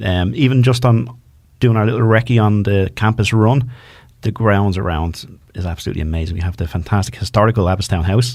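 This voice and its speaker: With a Dublin accent, a man speaks at a fairly quick pace and a fairly low pitch, with ordinary pitch variation. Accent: Dublin Irish. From Ireland, north Dublin. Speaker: community radio co-host. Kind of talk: casual radio chat. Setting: radio studio.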